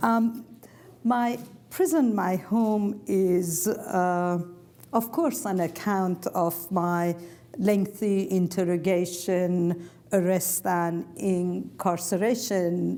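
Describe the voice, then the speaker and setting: In a Persian accent, the voice moves at a very slow pace with a dark, mellow tone, ordinary pitch variation and very even loudness. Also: woman, medium pitch for a woman. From Iran. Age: 70s. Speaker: author and former prisoner. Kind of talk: public talk.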